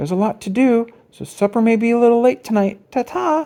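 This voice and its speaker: A put-on character voice, fairly high-pitched and fairly quick. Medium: read story.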